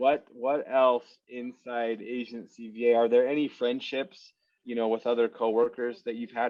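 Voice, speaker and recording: The delivery moves at a moderate pace. Its intonation stays monotone and flat. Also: man. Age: 30s. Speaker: interviewer for a virtual assistant agency. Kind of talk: casual interview.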